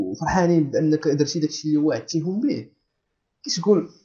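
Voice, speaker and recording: A somewhat breathy man's voice, fairly high in pitch, at a moderate pace. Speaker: student podcast host. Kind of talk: casual chat.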